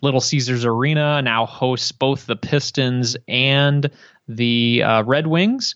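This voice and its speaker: Speaking very slowly at a very even loudness, a man talks in a Midwestern American accent. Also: medium pitch for a man, fairly even intonation. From Detroit, Michigan. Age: 30s. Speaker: podcaster. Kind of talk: interview.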